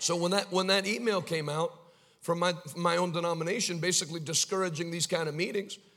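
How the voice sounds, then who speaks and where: Over noticeable background noise, a man with an American accent talks at a very fast pace in an animated tone and a high pitch. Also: long, frequent pauses. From United States. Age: 30s. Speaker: evangelist preacher. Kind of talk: sermon. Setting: church with live congregation.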